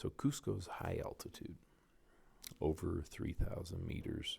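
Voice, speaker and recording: A moderate-paced whisper. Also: man. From Canada. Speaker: oral and maxillofacial surgeon. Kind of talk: casual podcast talk, travel recollection. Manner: whispered.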